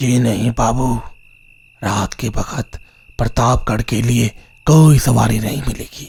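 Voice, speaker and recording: In a put-on character voice, a man speaks at a medium pitch and a fairly slow pace. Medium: read story. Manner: respectful, rustic, addresses listener as babuji.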